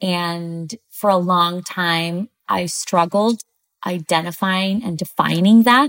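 A woman speaks at a very slow pace with a fairly low pitch and ordinary pitch variation. The sound is dry and close, with no echo. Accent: Spanish. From Chile. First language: Spanish. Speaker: TV news producer and author. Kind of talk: interview conversation.

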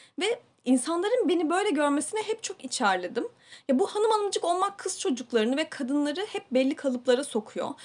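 A woman speaks at a fairly quick pace in a high voice, her pitch swinging very widely. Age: 30s. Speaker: podcast host. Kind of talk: casual chat. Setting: small home studio.

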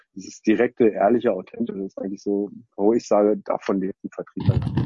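This man has an unremarkable speaking voice, talking at a fairly quick pace with fairly even intonation. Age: 40s. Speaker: company co-founder. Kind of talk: interview. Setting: online video recording.

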